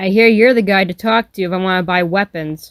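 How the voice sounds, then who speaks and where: The voice is a put-on character voice at a middle pitch. It moves at a fairly quick pace. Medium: read story. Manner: sarcastic, blunt.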